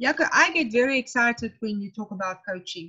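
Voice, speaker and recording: With a South African accent, a woman talks fairly slowly in a high voice that swings very widely in pitch. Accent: Afrikaans-accented English. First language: Afrikaans. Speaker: tent pegging coach, coach developer. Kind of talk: webinar discussion. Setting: video call webinar.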